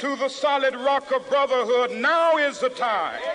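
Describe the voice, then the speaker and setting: A man with an American accent uses a raised, projected voice at an extremely high pitch. He speaks fairly slowly over noticeable background noise. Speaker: civil rights leader and preacher. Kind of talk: public oration at a rally, historical speech recording. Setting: outdoor rally with a crowd and PA system, 1963 archival audio.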